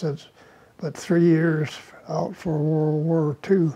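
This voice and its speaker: A man with an American accent, fairly high in pitch, with monotone, flat intonation. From Camas, Washington, USA. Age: 80s+. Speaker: farmer and WWII veteran. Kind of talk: interview answer. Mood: reminiscing, warm.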